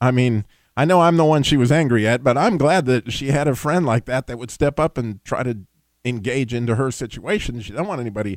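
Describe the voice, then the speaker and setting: This man has a normal speaking voice. His pitch is medium and his pace moderate. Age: 60s. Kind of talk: call-in radio show monologue. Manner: conversational, folksy.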